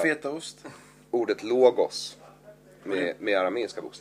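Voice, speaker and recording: Speaking at a moderate pace, a man has a plain, everyday voice whose pitch varies in an ordinary way. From Stockholm area, Sweden. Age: 30s. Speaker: comedian. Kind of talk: casual chat.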